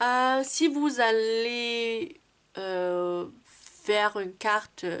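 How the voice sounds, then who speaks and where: This woman's pitch varies in an ordinary way. Her voice sits fairly high. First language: not French (speaking French). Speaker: card-making crafter. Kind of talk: tutorial. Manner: halting, many hesitations.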